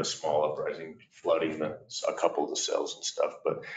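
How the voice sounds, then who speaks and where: A man speaks at a moderate pace in a space with audible room echo. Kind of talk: meeting report. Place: meeting room. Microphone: camera far.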